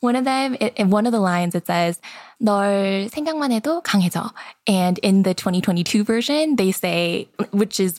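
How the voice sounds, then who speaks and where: A woman at a moderate pace and medium pitch, lively in intonation and very even in loudness, in a very clean recording with a silent background. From Seoul, South Korea, then US in childhood. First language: Korean. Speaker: content creator. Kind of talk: casual podcast chat.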